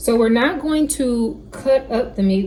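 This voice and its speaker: Noticeable background noise behind a female voice. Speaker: cooking vlogger. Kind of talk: cooking tutorial. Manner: casual, chatty.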